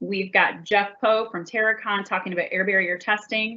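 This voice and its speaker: This is a woman speaking. Her pitch is medium. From Buffalo, New York. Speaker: building science director and webcast host. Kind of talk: live webcast presentation. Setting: live video broadcast from company headquarters.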